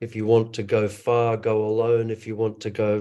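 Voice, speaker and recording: The man's voice sits fairly low and has a dark, mellow tone. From US West Coast, Los Angeles. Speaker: actor, director and business coach. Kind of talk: online roundtable discussion.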